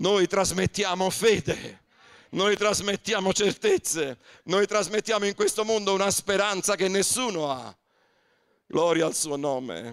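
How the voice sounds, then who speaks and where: A high-pitched man at a fairly slow pace, ordinary pitch variation and long, frequent pauses against a quiet background. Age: 60s. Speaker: pastor. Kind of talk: sermon. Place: church. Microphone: handheld.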